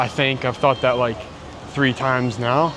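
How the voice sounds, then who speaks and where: A man talks in an American accent. Music plays in the background. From Texas. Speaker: travel vlogger. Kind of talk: travel vlog narration. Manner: casual, conversational.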